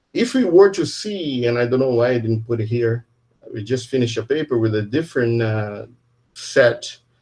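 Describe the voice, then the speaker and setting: Somewhat breathy, a man speaks at a moderate pace. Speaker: physics professor. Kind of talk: lecture.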